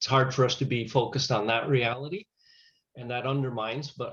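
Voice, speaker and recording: Fairly quick and somewhat breathy, a man talks at medium pitch. His intonation stays fairly even. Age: 60s. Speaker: chaplain and grief counselor. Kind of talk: webinar Q&A discussion.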